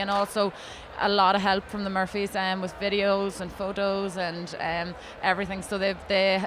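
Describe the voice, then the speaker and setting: A woman's medium-pitched, monotone, flat voice over noticeable background noise. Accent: Ulster. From Ireland, County Monaghan. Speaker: beauty pageant contestant. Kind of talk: interview. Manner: fast; hesitant, many fillers.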